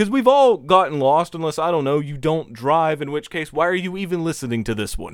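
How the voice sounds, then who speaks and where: A man speaks at a fairly high pitch and a fairly quick pace, with lively intonation and hardly any pauses, in a normal speaking voice. The recording is very clean, with a silent background. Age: 20s. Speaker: podcast co-host. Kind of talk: casual chat.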